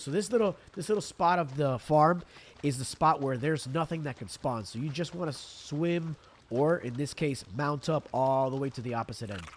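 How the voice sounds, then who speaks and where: Over noticeable background noise, a man talks at a fairly high pitch with lively intonation. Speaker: gaming video creator. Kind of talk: gameplay tutorial. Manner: casual, relaxed.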